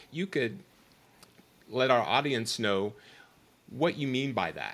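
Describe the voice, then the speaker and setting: In a plain, everyday voice, a man at medium pitch speaks with lively intonation on a very clean recording with a silent background. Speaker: podcast host. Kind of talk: interview.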